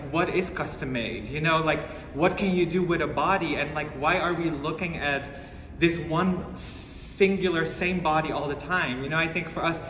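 A man's monotone, flat delivery with audible room echo and light background noise. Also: moderate pace. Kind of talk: interview answer. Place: home room. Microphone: phone near.

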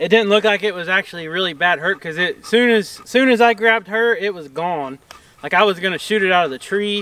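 A man with an American accent speaks fairly quickly in a raised, projected voice, high-pitched with a bright, sharp tone, ordinary pitch variation, and a dry sound with no echo. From Oklahoma. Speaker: farmer, channel host. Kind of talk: casual vlog. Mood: worried, a bit shaken. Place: open country. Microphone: camera far.

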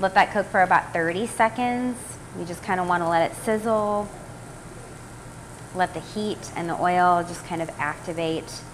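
A woman speaks with long, frequent pauses and ordinary pitch variation. Light background noise is audible. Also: moderate pace, big swings in loudness. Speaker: cooking demo host. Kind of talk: tutorial. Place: kitchen. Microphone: phone near.

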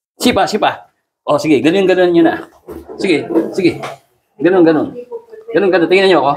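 Amid noticeable background noise, a man speaks very fast at a high pitch with lively intonation, breaking often into long pauses. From Philippines. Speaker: naturopathic therapist. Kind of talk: therapy session coaching. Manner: animated. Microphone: phone near.

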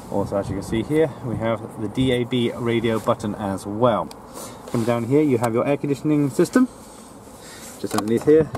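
A man at a fairly quick pace with ordinary pitch variation, in dry sound with no echo and light background noise. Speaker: car dealer salesperson. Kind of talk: product walkaround commentary. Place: car. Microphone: phone near.

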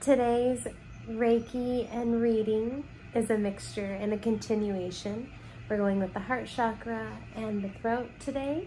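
Soft-spoken and fairly high-pitched, a woman talks at a fairly slow pace with fairly even intonation over light background noise. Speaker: reiki and card reading ASMR creator. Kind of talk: guided reiki healing session, ASMR style. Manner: soft-spoken, slow. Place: home room. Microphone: phone near.

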